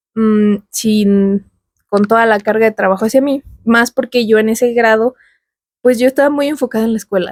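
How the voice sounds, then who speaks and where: With a Mexican accent, a woman speaks at a fairly high pitch with fairly even intonation, and the sound is dry and close with no echo. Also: moderate pace. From Mexico. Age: 20s. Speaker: YouTuber. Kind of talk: personal vlog monologue. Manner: casual.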